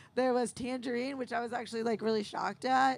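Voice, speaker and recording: A woman with a high pitch and an American accent talks at a fairly quick pace. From US Midwest, south side of Chicago. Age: 40s. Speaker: cannabis edibles maker. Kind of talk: panel interview. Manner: hesitant, filler-heavy.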